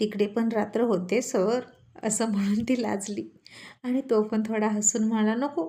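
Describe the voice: The text is read aloud plainly. Its intonation remains fairly even.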